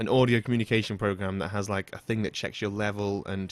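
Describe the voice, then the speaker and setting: A man speaks fairly quickly in a fairly low voice. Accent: British. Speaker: podcast host. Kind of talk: casual chat. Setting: online voice call podcast. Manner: relaxed, rambling. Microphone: close to mic with pop screen, through a mixer.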